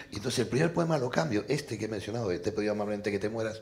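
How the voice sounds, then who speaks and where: Speaking at a very fast pace, a man with a fairly low pitch sounds somewhat breathy. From Argentina. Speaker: novelist and poet. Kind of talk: panel discussion. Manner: animated.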